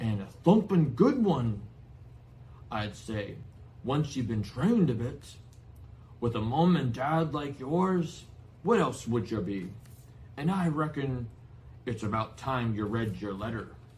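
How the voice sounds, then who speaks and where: In a booming, growling put-on character voice of medium pitch, a man talks at a fairly slow pace with long, frequent pauses. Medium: read story.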